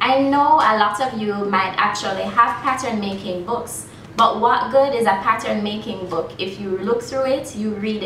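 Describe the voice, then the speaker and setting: A woman at a moderate pace with ordinary pitch variation, audible room echo and light background noise. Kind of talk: promotional talk to camera. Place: workshop. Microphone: camera far.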